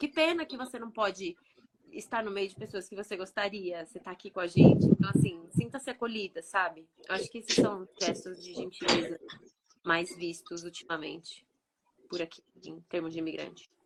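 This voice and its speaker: A woman with an unremarkable speaking voice talks at a medium pitch and a moderate pace. Her intonation is lively, and her loudness swings widely. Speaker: podcast co-host, immigrant mother. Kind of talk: casual chat.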